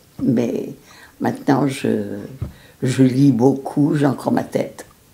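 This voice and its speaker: This woman's voice sits very deep and low. She talks at a very slow pace with fairly even intonation. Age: 90s. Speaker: retired teacher, wartime resistance member. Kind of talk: oral history interview. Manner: halting, with many hesitations.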